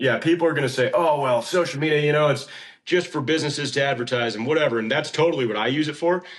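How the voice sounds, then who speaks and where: Very fast speech in an American accent. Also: man, fairly high pitch for a man, ordinary pitch variation. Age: 30s. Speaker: horse trainer. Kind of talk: casual chat.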